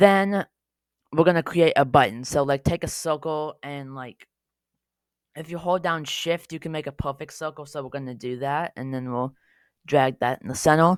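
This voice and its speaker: With a very deep, low pitch and ordinary pitch variation, a woman speaks at a moderate pace with big swings in loudness, the sound dry and close with no echo. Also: very clean recording, silent background. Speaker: Scratch tutorial creator. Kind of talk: tutorial. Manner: casual, with fillers.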